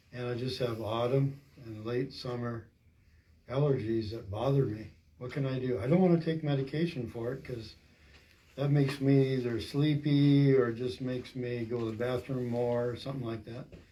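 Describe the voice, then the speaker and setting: This man has a medium-pitched, dark and mellow voice that is somewhat breathy, with fairly even intonation and a moderate pace. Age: 60s. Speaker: class attendee asking questions. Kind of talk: question in a class.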